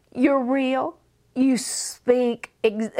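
A woman with a Southern US accent, high in pitch, speaking at a very slow pace. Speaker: preacher and teacher. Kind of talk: casual chat, faith interview. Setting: studio.

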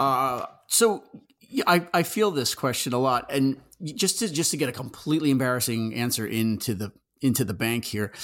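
A man talks at a moderate pace in an unremarkable speaking voice. His medium-pitched delivery has lively intonation. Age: 50s. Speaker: horror magazine editor. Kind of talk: casual chat.

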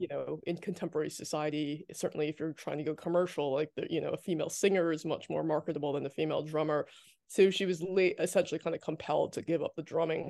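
A woman speaks very fast in a fairly low voice with a dark, mellow tone. Her intonation stays flat and monotone against a quiet background. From New Jersey, US. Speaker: author and activist. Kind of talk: casual interview chat.

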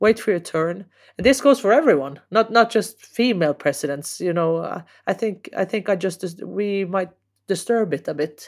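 In a Norwegian accent, a woman speaks at a medium pitch and a moderate pace. Her intonation is lively, and the recording is very clean with a silent background. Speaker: football association president. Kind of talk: interview. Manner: halting.

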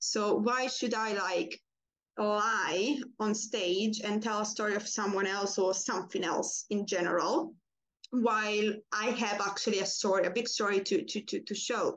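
A woman with a non-native accent talks at a fairly high pitch and a fairly slow pace. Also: ordinary pitch variation. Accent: foreign-accented English. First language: not English. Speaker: pole dancer. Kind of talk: interview.

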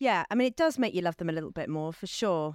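Speaking at a fairly quick pace, a woman with fairly low pitch and ordinary pitch variation comes through a dry, close sound with no echo. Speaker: podcast co-host. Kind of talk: scripted introduction; interview.

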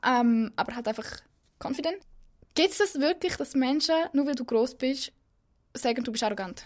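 Pausing long and often, a woman talks in a high pitch with lively intonation. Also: moderate pace. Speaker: podcast co-host. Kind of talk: casual interview chat. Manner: loud.

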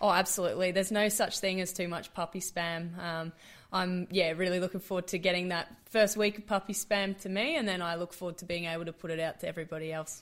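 Very fast, flat, monotone speech from a woman with an Australian accent, medium in pitch, with hardly any pauses and a very clean recording over a silent background. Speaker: professional cricketer. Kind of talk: interview.

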